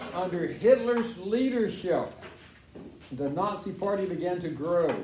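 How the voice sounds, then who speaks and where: A man speaks fairly slowly with a high pitch and ordinary pitch variation. Audible room echo and noticeable background noise surround his voice. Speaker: school teacher. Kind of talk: classroom lesson reading from textbook.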